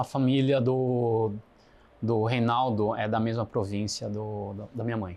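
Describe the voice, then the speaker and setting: Speaking at a fairly slow pace, a man with a medium pitch and a dark, mellow tone keeps his intonation monotone and flat. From Brazil, Foz do Iguaçu area, then São Paulo. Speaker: podcast guest, business person. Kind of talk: interview conversation.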